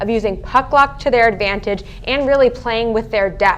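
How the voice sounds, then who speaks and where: Upbeat and enthusiastic, a woman speaks at a fairly quick pace. Her voice is fairly high, with ordinary pitch variation. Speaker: sports talk show anchor and analyst. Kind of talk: live sports talk show commentary, energetic analysis. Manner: upbeat, enthusiastic.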